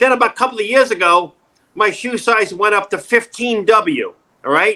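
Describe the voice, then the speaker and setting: With a bright, sharp tone and a high pitch, a man speaks in a raised, projected voice at a moderate pace, his intonation lively. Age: 60s. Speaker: actor, acting coach and former stand-up comedian. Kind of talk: casual interview. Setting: video call. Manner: animated, joking.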